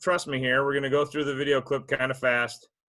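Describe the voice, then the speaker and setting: A man's fairly high-pitched voice over music in the background. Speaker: fisheries biologist presenting on video editing. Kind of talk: webinar tutorial. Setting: online webinar.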